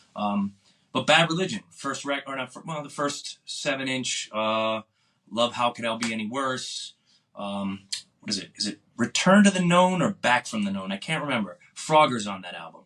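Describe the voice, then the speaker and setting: With an American accent, a man talks at a moderate pace in a medium pitch, his bright, sharp tone making very wide pitch swings and big jumps in loudness. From Boston area, US. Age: 50s. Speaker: punk musician. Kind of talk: casual interview.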